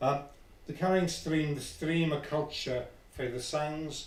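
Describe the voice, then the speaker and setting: A fairly high-pitched man at a fairly slow pace, with audible room echo. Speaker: poet. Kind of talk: poetry reading.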